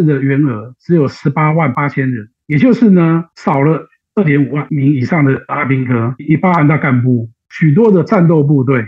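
A man with an unremarkable speaking voice talks at a moderate pace. His pitch is fairly high. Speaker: political aide and analyst. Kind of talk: interview analysis.

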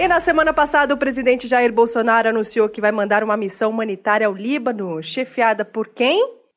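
A woman's normal speaking voice, fairly high in pitch, at a fairly quick pace with ordinary pitch variation and hardly any pauses. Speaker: comedy podcast host. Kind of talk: comedic news satire.

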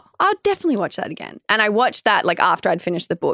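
The speaker talks very fast in an Australian accent, with vocal fry. The sound is dry and close, with no echo. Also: woman. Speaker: podcast co-host. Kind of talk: casual chat. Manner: laughs often.

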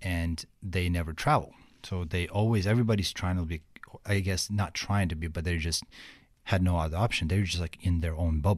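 Talking at a fairly quick pace, a man with a very deep, low pitch comes through on a very clean recording with a silent background. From Ukraine. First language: Russian or Ukrainian. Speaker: motivational speaker. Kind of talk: interview. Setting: studio.

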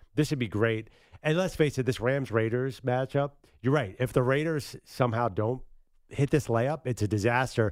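A man with an American accent and an unremarkable speaking voice, medium in pitch for a man, with ordinary pitch variation, a moderate pace, and a very clean recording with a silent background. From Philadelphia. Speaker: sports radio co-host. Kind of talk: casual sports talk radio.

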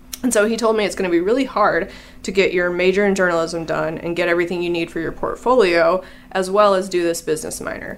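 With an American accent and a medium pitch, a woman speaks at a very fast pace against noticeable background noise. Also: fairly even intonation. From Illinois. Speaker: data reporter. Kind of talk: casual interview.

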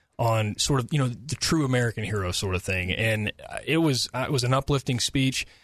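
Dry and close with no echo, a man's unremarkable speaking voice moves at a fairly quick pace, at medium pitch with ordinary pitch variation. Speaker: governor's spokesman. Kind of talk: radio interview.

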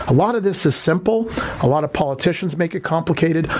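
Noticeable background noise behind a man's fairly high voice, very fast pace and ordinary pitch variation. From Toronto, Canada. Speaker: politician, mayoral candidate. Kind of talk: radio interview. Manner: animated.

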